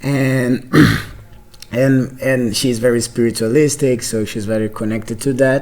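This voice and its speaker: A man with a Brazilian Portuguese accent speaks at a fairly slow pace in a monotone, flat delivery, with noticeable background noise. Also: medium pitch for a man. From Brazil (Salvador da Bahia, later São Paulo). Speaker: podcast host. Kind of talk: casual interview conversation. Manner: halting, many fillers and repetitions.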